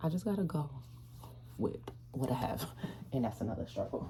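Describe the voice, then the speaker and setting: A woman is speaking. Her voice is soft-spoken. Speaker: vlogger, social work student. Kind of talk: casual vlog.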